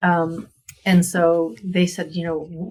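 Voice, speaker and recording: A woman's voice is fairly low in pitch and somewhat breathy. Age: 60s. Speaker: painter, former HR worker. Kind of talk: interview storytelling.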